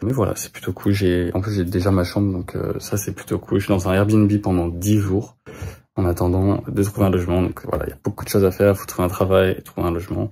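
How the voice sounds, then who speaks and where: Somewhat breathy and dark, mellow in tone, a man with fairly low pitch speaks at a fairly quick pace in a flat monotone. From France. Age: 20s. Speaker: vlogger. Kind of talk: vlog. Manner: hesitant, many fillers.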